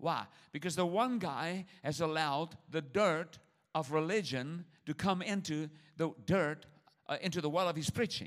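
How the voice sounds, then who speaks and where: A man with a non-native accent and a fairly high pitch speaks in an animated tone at a moderate pace with ordinary pitch variation, on a very clean recording with a silent background. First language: not English. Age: 60s. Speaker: traveling preacher. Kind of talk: sermon. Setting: church with audience.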